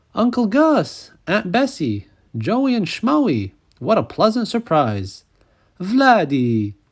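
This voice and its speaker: A man uses a put-on character voice at a high pitch with very wide pitch swings and a very slow pace, on a very clean recording with a silent background. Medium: read story.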